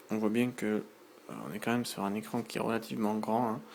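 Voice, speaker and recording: Soft-spoken and at a moderate pace, a man talks in a medium pitch. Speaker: tech youtuber. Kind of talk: unboxing and product demo. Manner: hesitant, many fillers.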